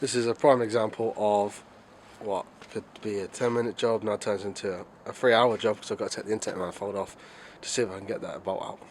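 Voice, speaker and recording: A man with a British accent speaks at a very fast pace. His pitch is fairly low and his intonation is monotone and flat. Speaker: amateur car mechanic. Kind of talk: casual talk to camera. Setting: outdoors.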